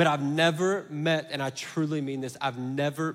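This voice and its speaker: An animated man with a Southern US accent, in a very clean recording with a silent background. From US South. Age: 30s. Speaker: pastor. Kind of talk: sermon. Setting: church.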